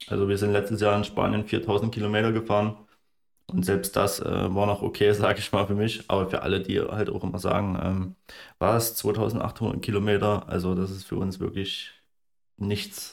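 The recording is very clean with a silent background, and a man speaks in a fairly low pitch at a moderate pace with monotone, flat intonation. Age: 20s. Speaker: landscape photographer. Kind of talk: casual chat.

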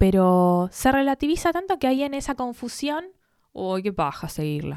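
Heard in a dry, close sound with no echo, a woman's dark, mellow voice makes very wide pitch swings. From Buenos Aires, Argentina. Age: 20s. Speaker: content creator. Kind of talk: casual chat.

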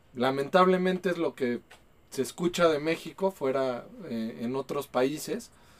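Here a man speaks with a Mexico City accent. He is fairly high-pitched and goes at a fairly slow pace. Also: ordinary pitch variation. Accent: Mexican Spanish (Mexico City). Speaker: podcast host. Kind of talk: casual chat over beers.

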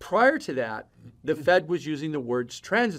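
A man with an American accent, an ordinary speaking voice, lively intonation and a moderate pace. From Chicago. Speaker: macroeconomic research firm president. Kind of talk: podcast interview. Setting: in-person studio.

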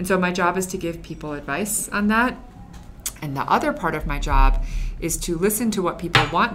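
A woman with a medium pitch and lively intonation is heard amid noticeable background noise and audible room echo. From Chinese heritage. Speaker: former magazine editor, Instagram staff. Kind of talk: casual interview.

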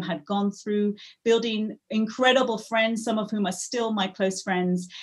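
Her voice is somewhat breathy. This woman keeps her intonation fairly even. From Africa, moved to England at 13. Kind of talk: interview. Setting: video call.

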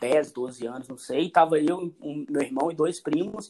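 Lively intonation at a moderate pace. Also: man. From Belo Horizonte, Minas Gerais, Brazil. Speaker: podcast guest. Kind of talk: casual chat. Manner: calm.

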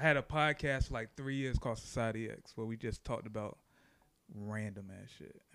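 A man with a normal speaking voice talks at a fairly quick pace and medium pitch, showing ordinary pitch variation and big swings in loudness. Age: 30s. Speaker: photographer and videographer. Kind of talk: casual chat.

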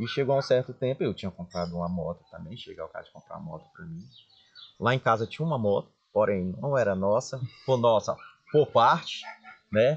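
A man talks at a fairly quick pace and medium pitch, with lively intonation broken by long, frequent pauses. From Brazil, Maranhão (Chapadinha). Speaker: pharmacy business owner. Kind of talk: interview storytelling.

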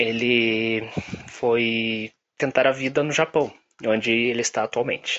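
This man's voice sits at a medium pitch. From Brazil, Curitiba. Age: 20s. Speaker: advertising professional. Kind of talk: personal testimony. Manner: halting.

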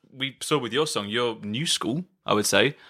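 A man with a British accent, bright, sharp tone and lively intonation, in a dry, close sound with no echo on a very clean recording against a silent background. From UK. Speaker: podcast host, musician. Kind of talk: casual chat. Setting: band retreat in countryside house.

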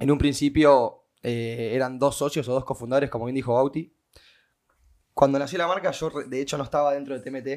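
A man with a Rioplatense accent talks at a fairly quick pace and a medium pitch. His pitch variation is ordinary, and the very clean recording has a silent background. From Argentina, Mar del Plata. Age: 20s. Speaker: restaurant owner. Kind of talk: casual chat.

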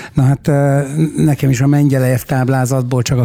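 Fairly even intonation pairs with a dark, mellow tone in this voice. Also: man, dry, close sound with no echo. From Hungary. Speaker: radio host and rock musician. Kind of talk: interview.

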